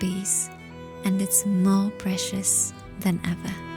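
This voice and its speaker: Music plays in the background. A woman speaks in a gentle tone at a very slow pace. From Transylvania, Romania. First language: Hungarian. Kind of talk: calm lifestyle narration. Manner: soft, slow, gentle.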